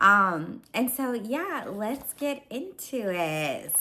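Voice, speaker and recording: This woman's voice sits at a fairly high pitch. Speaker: lifestyle vlogger. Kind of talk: casual chat. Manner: casual with filler ums.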